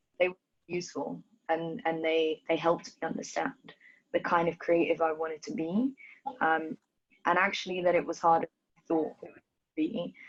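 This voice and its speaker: A woman with a slight London accent and fairly low pitch speaks at a moderate pace. Her delivery has long, frequent pauses and big swings in loudness. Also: ordinary pitch variation. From Ethiopia, raised in London. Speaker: dancer. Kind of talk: interview.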